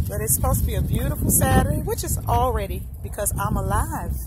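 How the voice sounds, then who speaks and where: A woman talks at a moderate pace, the sound dry with no echo and the background noise loud. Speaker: small roadside gift seller. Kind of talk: casual vlog chat. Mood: cheerful, upbeat. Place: street. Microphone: phone near.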